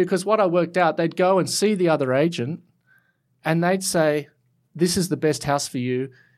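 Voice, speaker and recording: A man with an Australian accent speaks at a moderate pace in a high voice with ordinary pitch variation. The recording is very clean, with a silent background. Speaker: architect. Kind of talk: interview. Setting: studio. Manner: halting, many fillers and repeats.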